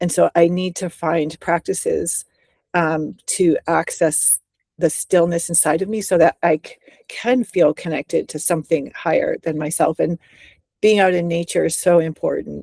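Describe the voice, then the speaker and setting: A woman speaks with a dark, mellow tone and fairly low pitch at a moderate pace, her intonation fairly even and the sound dry and close with no echo. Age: 60s. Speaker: writer and teacher. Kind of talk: interview.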